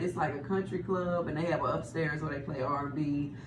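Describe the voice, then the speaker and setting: A woman speaks with a strong Texas accent. The room echo is audible, and background noise is noticeable. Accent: thick Texas. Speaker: radio host. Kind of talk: casual interview.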